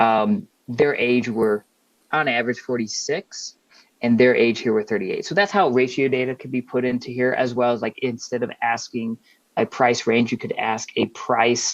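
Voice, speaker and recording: A man speaks at a medium pitch and a moderate pace, in an unremarkable speaking voice with ordinary pitch variation. The sound is dry and close, with no echo. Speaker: workshop presenter. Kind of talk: webinar presentation.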